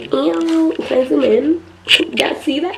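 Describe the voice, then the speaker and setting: This woman's words come very slowly. Background noise is clearly audible throughout. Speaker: vlogger. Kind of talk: casual vlog. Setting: filming self on camera.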